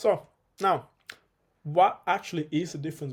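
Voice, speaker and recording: The speaker is a man. There is some breathiness in his voice. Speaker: fitness coach. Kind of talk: tutorial. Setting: home video recording, one take. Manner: fast; casual.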